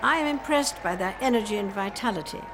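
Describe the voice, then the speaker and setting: The speech moves at a fairly quick pace with lively intonation. There is noticeable background noise. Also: woman. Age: 80s+. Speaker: monarch giving a televised address. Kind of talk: formal royal address.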